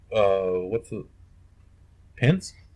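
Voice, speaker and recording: A man's somewhat breathy voice moves along at a very slow pace. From US South, Kentucky and North Carolina. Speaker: podcast host. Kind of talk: casual rant. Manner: animated.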